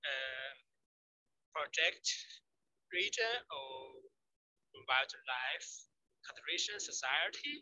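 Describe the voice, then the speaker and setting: The speaker has a Chinese accent and a very slow pace. Long, frequent pauses break up the speech. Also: man. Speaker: ecology researcher. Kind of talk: Q&A after a lecture. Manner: halting. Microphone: too quiet, mic far from mouth.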